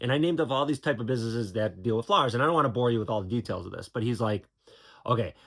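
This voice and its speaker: A man is talking. His intonation is lively. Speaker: YouTuber and computer supply business owner. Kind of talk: casual vlog monologue. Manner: fast; halting, many fillers and repeats.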